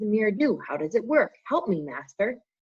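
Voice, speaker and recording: A female-sounding voice uses a put-on character voice at a fairly high pitch. It moves at a fairly quick pace with very wide pitch swings. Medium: read story.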